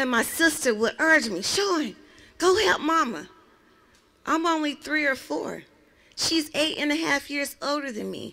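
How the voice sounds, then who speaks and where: A woman's high-pitched, raised and projected voice with lively intonation, broken by long, frequent pauses. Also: fairly slow pace. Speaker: domestic violence survivor speaker; speaker. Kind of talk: testimony; personal testimony speech. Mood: emotional, earnest storytelling. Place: open country. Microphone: handheld.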